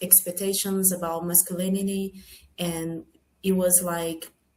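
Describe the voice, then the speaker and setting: With a Portuguese accent, a woman speaks at a fairly slow pace in a somewhat breathy, dark, mellow tone with monotone, flat intonation. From Brazil. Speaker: film producer and screenwriter. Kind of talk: panel Q&A. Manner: halting.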